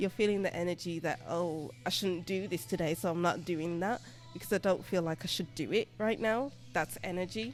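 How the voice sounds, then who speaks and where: With music in the background, a woman in a British accent talks at a moderate pace and a fairly low pitch, using lively intonation. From Birmingham, England. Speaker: tarot reader and English teacher. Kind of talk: interview answer.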